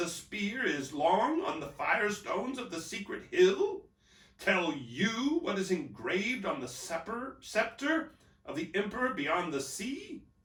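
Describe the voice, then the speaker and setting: Shrill and put-on, this is a man doing a character voice. His pace is fairly slow. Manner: scornful, rising in anger.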